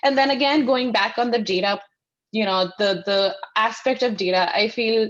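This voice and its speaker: A woman speaks with an Indian accent at a moderate pace. Her fairly high voice shows ordinary pitch variation. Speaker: sustainability consultant. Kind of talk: panel discussion.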